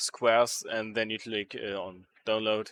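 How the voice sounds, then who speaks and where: At a very slow pace, a man with a German accent talks in a medium pitch, the sound dry and close with no echo and a quiet background. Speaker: modding tutorial creator. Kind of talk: tutorial. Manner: halting, many fillers.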